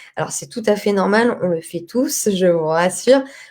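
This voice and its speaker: A woman's dark, mellow voice at a medium pitch, with ordinary pitch variation and a fairly slow pace. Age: 30s. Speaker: cat behaviour consultant. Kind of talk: interactive live presentation. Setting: Facebook live stream. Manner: loud.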